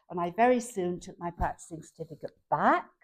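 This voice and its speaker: Very wide pitch swings at a moderate pace. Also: woman. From northern England, Liverpool. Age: 70s. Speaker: retired barrister, donkey refuge founder. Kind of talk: channel introduction talk. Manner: formal.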